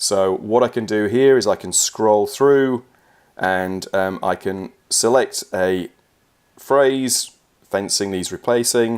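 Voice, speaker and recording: A man's fairly low voice with ordinary pitch variation, at a very slow pace with an English accent, on a very clean recording with a silent background. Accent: English accent in Australia. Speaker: software trainer. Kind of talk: tutorial. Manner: casual, some fillers.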